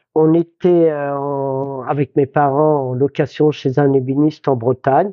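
A man with a fairly high pitch. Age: 60s. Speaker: cabinetmaker and furniture restorer. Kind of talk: interview. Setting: workshop. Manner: halting.

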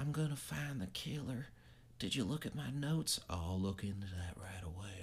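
A man's put-on character voice in a Southern US accent, mumbling at a moderate pace, fairly low in pitch with very wide pitch swings, over clear background noise. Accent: southern drawl. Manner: mumbling, bland.

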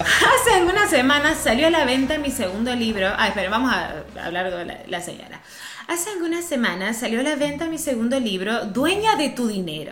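A woman's high voice moves through very wide pitch swings, with noticeable background noise behind it. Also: moderate pace. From Córdoba, Argentina. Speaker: podcast co-host, news correspondent. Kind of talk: casual comedic chat, reading news aloud with commentary. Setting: in person with host, in Rosario.

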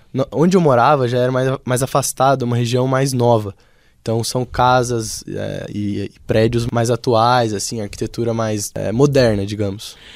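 Fairly even intonation with a Brazilian accent, at a moderate pace. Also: man, medium pitch for a man. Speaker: engineering student. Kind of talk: radio interview.

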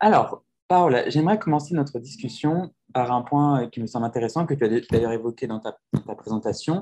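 Here is a man with an unremarkable speaking voice at a medium pitch. He talks at a moderate pace with lively intonation. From rural France. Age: 20s. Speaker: podcast host and French teacher. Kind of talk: casual chat.

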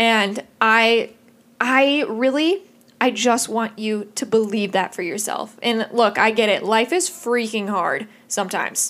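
With a Midwestern US accent, a woman talks at a fairly slow pace in an animated tone, her fairly high pitch showing ordinary pitch variation. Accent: US Midwest. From Indiana. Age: 20s. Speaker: podcast host. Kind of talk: solo podcast monologue.

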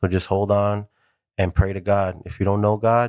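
Speaking at a moderate pace with an American accent, a man has a fairly low, monotone, flat voice, recorded very cleanly with a silent background and a dry, close sound with no echo. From Southern California (Rowland Heights). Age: 30s. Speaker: music video director. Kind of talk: casual chat.

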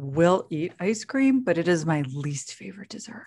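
This woman's voice sits fairly low and swings very widely in pitch. It is somewhat breathy. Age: 40s. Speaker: podcast co-host. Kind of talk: casual chat.

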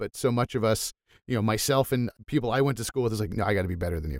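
The sound here is dry and close, with no echo. A man talks at a very fast pace. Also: very clean recording, silent background. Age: 40s. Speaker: podcast host. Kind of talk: interview.

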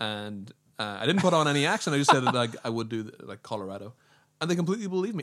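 A man talks very fast with an American accent. His fairly high voice swings very widely in pitch. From Northern Ireland. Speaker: podcast guest. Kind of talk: casual chat. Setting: studio.

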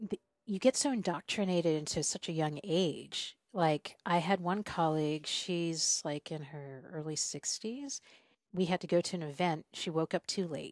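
Against a quiet background, a woman with an American accent uses an ordinary speaking voice, fairly low in pitch, with ordinary pitch variation at a moderate pace. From US South (South Carolina). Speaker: podcast host and traveler. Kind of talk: casual conversation interview.

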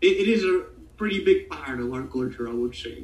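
Fairly quick delivery with an Argentine accent. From Buenos Aires, Argentina. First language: Spanish. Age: 20s. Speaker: guest talking about his country. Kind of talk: casual interview chat.

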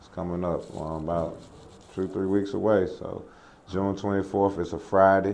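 A man at a moderate pace, monotone and flat, with audible room echo. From North Carolina, Lexington. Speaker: former pro basketball player and trainer. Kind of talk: casual interview. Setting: new basketball training facility.

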